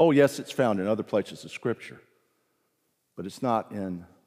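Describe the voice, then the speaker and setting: Speaking with a Southern US accent, a man uses a dark, mellow tone at a fairly low pitch, with ordinary pitch variation and a moderate pace. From US South (South Carolina/Virginia roots). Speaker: pastor. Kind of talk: sermon. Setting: church. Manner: animated.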